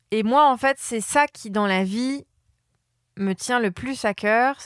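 A woman speaks very slowly at a fairly high pitch with ordinary pitch variation. The recording is very clean and dry, close with no echo and a silent background. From France, Polish family. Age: 30s. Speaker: brand strategist. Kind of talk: interview. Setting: hotel room.

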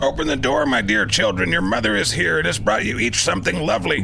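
Over clear background noise, a man puts on a soft-spoken character voice and speaks at a very fast pace. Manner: coaxing, deceptive.

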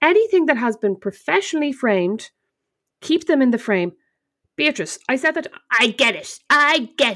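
This woman speaks at a moderate pace in an Irish accent, with long, frequent pauses. Her high voice swings very widely in pitch, and the recording is very clean with a silent background. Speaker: podcast co-host. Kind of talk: casual chat.

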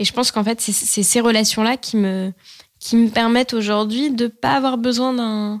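A fairly high-pitched woman's voice at a moderate pace, with ordinary pitch variation. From France. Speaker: journalist and actress. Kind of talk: testimony. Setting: studio. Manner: hesitant, frequent fillers.

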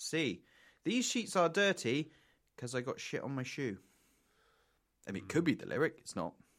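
In a playful tone, a man with fairly high pitch and vocal fry speaks at a moderate pace, his pitch swinging very widely between long, frequent pauses. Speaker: podcast host. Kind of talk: casual chat. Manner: joking, playful.

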